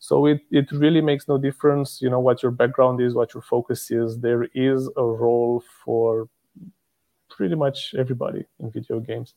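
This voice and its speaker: This is a man with an unremarkable speaking voice, pitched medium. He talks at a moderate pace with fairly even intonation. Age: 30s. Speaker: company regional director. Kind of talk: casual interview.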